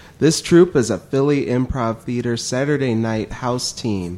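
Medium male pitch with ordinary pitch variation, an ordinary speaking voice. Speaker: podcast co-host. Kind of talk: casual chat.

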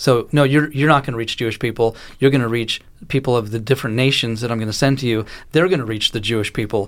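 The recording is very clean, with a silent background. A man talks very fast at medium pitch with ordinary pitch variation. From Israel. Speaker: ministry leader. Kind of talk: radio interview.

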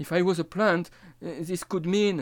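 In a very clean recording with a silent background, a man with a French accent speaks fairly slowly at a high pitch. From France, Nancy area. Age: 50s. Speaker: astrologer and storyteller. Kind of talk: autobiographical monologue.

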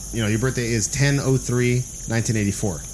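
Noticeable background noise sits behind a man speaking in an American accent. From Los Angeles (Boyle Heights, East LA). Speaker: stand-up comedian and self-described psychic. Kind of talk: casual chat.

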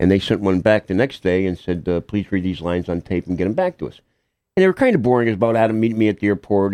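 A man with an American accent talks at a very fast pace in a dark, mellow tone with ordinary pitch variation. The background is quiet and the sound dry and close with no echo. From Connecticut, Hamden. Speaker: actor, amputee. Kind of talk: interview. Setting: radio studio.

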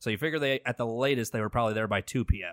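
A man of medium pitch speaks in an ordinary speaking voice with ordinary pitch variation on a very clean recording with a silent background. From New Milford, Connecticut. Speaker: wrestling podcast co-host. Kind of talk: casual chat.

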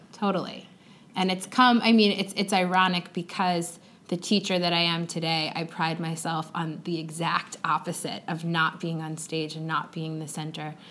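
In an ordinary speaking voice, a woman with an American accent talks at a moderate pace, her pitch fairly low and her intonation fairly even. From Long Island, New York. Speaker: teacher. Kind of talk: interview conversation. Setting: classroom.

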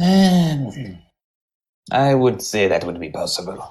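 This is a put-on character voice at a low-to-middle pitch. The pace is very slow. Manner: looking around, then answering in character.

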